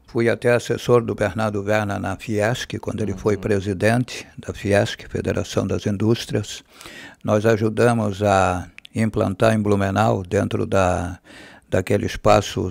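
In a fairly low voice, a man speaks at a fairly slow pace with monotone, flat intonation, in a dry sound with no echo over a quiet background. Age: 80s+. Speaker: former radio announcer and TV news presenter. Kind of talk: interview answer. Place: studio. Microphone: studio mic.

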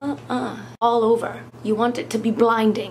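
A woman speaks at a fairly slow pace in a deadpan tone. Background noise is noticeable. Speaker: makeup vlogger. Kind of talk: comedic makeup tutorial.

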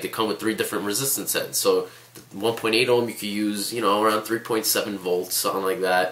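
A man rattles off his words very fast while noticeable background noise fills the recording. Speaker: vaping reviewer. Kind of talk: casual talk to camera. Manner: casual, filler-heavy.

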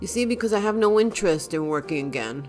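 Music plays in the background. A woman speaks with very wide pitch swings. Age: old. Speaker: retired teacher. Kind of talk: casual talk to camera.

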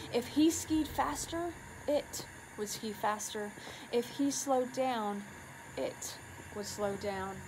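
A woman speaks very slowly in a fairly high voice with lively intonation, leaving long, frequent pauses over noticeable background noise. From US Pacific Northwest. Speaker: community leader. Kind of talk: reading aloud. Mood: hushed spooky storytelling. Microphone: phone near.

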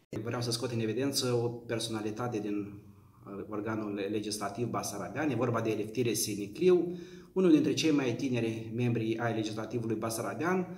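A man speaks at a moderate pace in a medium pitch with ordinary pitch variation. Room echo is audible. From Moldova, Rezina district; Moldova. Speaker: history professor. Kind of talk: lecture. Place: home room.

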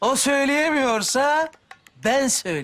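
A man puts on a character voice pitched extremely high. Big pitch swings mark it, and the tone is fairly bright.

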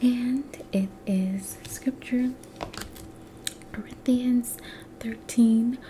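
A soft-spoken woman whispers in a gentle tone at a very slow pace. Light background noise is present. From United States. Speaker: ASMR creator. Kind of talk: casual encouraging talk to camera. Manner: soft, gentle whisper. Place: home room. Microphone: webcam.

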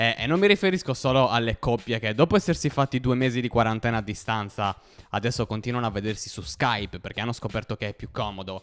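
Very fast pace from a man, ordinary pitch variation throughout. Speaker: stand-up comedian. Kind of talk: stand-up comedy. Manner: casual, conversational storytelling with hesitant fillers. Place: home room. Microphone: handheld.

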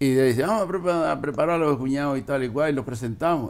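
Very rapid delivery carries a normal amount of pitch variation. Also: man. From Canary Islands, La Graciosa; Canary Islands. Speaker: retired fisherman and boat skipper. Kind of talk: interview, life story; interview answer. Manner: halting, repetitive. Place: home room. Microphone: lapel.

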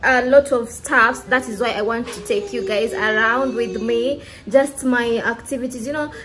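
A woman with a high pitch, big swings in loudness, ordinary pitch variation and a fairly slow pace, over light background noise. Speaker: vlogger. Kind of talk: casual vlog chat. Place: home room. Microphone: phone near.

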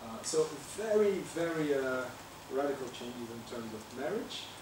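Lively intonation carries over noticeable background noise and audible room echo. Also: man. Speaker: professor. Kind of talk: lecture. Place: classroom.

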